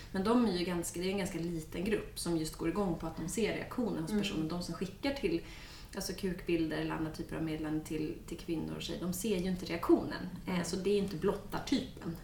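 A woman speaks very fast in a fairly low pitch with ordinary pitch variation, amid audible room echo and noticeable background noise. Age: 30s. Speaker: criminologist. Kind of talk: casual chat.

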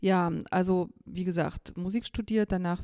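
A woman speaks with a fairly low pitch and a dark, mellow tone, her intonation fairly even. The sound is dry and close, with no echo. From East Germany, rural. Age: 50s. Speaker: organisation director. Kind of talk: interview.

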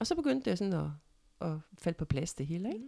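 Talking very fast, a woman with a fairly low voice ranges through very wide pitch swings. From Denmark, central Jutland (Ikast). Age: 60s. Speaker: mother of the host. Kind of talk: casual chat.

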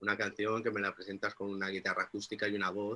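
A man's fairly low voice with a bright, sharp tone. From Mallorca, Spain (Inca). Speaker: music producer and musician. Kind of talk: interview.

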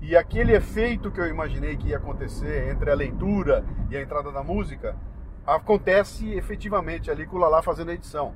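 Noticeable background noise behind a man talking at a very fast pace. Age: 60s. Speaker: radio host and podcaster. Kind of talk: casual chat. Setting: in a car.

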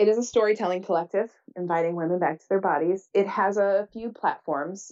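A woman's unremarkable speaking voice, medium in pitch. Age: 40s. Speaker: writer and public speaker, business coach. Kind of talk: casual interview chat.

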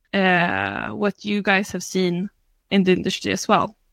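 Bright and sharp in tone, the voice carries a Swedish accent at a fairly slow pace. The recording is very clean, with a silent background and a dry, close sound with no echo. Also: woman. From Sweden, Stockholm area. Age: 30s. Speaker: scrum master. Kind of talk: panel discussion.

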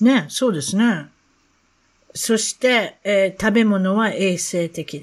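Ordinary pitch variation marks this very slow speech, captured in a very clean recording with a silent background. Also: woman, medium pitch for a woman. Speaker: podcast host. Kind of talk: casual interview chat.

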